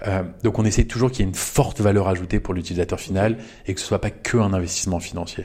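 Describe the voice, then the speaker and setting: Talking at a very fast pace, a man uses a fairly low pitch. His tone is dark and mellow. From France, Paris. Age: 30s. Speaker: venture capital investor. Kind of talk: interview. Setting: office. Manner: animated.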